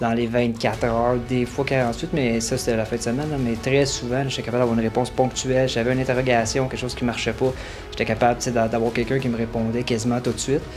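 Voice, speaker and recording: A man speaks very fast at a medium pitch in a monotone, flat delivery. Music plays in the background. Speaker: fitness program client giving testimonial. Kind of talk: testimonial.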